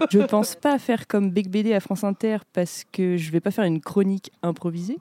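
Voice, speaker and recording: A woman talks at a fairly quick pace and a medium pitch, in a plain, everyday voice. The sound is dry and close, with no echo. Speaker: podcast host. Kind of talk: casual chat.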